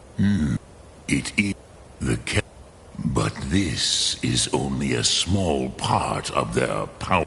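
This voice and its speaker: Putting on a character voice, a man speaks at a very slow pace with long, frequent pauses and a very deep, low pitch, with background noise clearly heard. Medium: video game. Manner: slow, grave, deliberate.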